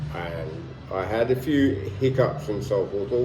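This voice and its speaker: Over music in the background and audible room echo, a man with a London accent speaks at a moderate pace and medium pitch with lively intonation. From London, England. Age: 60s. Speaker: retired vlogger. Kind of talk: casual vlog monologue. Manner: halting, many fillers.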